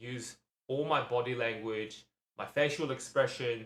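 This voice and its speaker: A man talks at a medium pitch with ordinary pitch variation. His tone is bright and sharp, and his pace is moderate. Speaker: vlogger. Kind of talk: casual talk to camera. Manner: halting, many ums and repetitions; mumbling at times.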